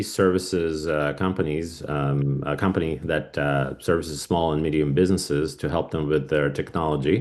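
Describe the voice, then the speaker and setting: The speaker keeps a moderate pace with ordinary pitch variation over noticeable background noise. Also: man. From Russia. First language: Russian. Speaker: cybersecurity business owner. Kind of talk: podcast interview. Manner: halting, many fillers.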